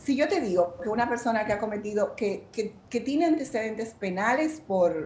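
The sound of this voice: A woman speaks at a moderate pace with a fairly high pitch, a slightly mellow tone and lively intonation, and the room echo is audible.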